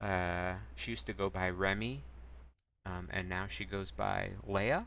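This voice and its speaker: The voice is soft-spoken, bright and sharp. Vocal fry runs through it. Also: man. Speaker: streamer. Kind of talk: reading aloud. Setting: live stream.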